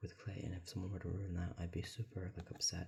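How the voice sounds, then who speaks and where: A man is whispering. His voice is somewhat breathy. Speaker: ASMR creator. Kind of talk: ASMR talking while drawing. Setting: at home alone. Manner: whispering or talking low; soft-spoken.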